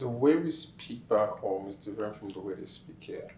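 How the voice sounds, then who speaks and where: Noticeable background noise is audible. A man talks over it at a moderate pace. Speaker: immigrant interviewee. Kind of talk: interview.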